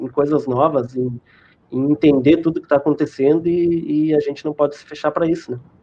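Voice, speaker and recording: A plain, everyday voice from a man, fairly high in pitch, ordinary in pitch variation, at a moderate tempo. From southern Rio Grande do Sul, Brazil. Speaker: internet provider sales team manager. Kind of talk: live-stream interview.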